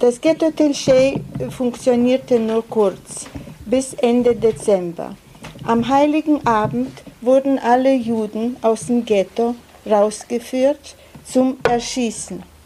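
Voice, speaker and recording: A woman with a high voice speaks very slowly and at very even loudness, with noticeable background noise. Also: ordinary pitch variation. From Lithuania. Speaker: Holocaust survivor and interpreter. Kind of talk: consecutive interpreting of testimony. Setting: school auditorium with audience. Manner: halting.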